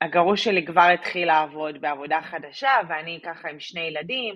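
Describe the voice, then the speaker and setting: Here is a woman with a plain, everyday voice. She speaks at a moderate pace with a fairly low pitch. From Israel. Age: 30s. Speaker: immigrant mother sharing her story. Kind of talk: personal story interview.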